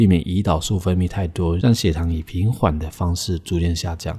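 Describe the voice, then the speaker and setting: The recording is very clean with a silent background. A man with a very deep, low pitch speaks fairly slowly in a dark, mellow, somewhat breathy tone. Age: 30s. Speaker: podcast host. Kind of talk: casual solo podcast talk.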